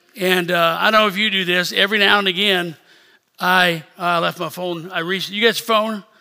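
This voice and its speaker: A man's raised, projected voice with an American accent, high-pitched and monotone, flat in intonation, at a fairly quick pace. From rural Missouri. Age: 60s. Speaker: bishop. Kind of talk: sermon. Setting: church service.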